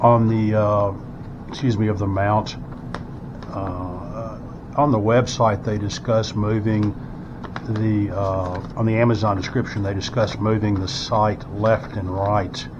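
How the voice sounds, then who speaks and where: A man's fairly low, monotone voice at a fairly slow pace, with flat intonation, noticeable background noise and audible room echo. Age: 60s. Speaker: firearms product reviewer. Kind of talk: unboxing tutorial. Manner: hesitant, many fillers.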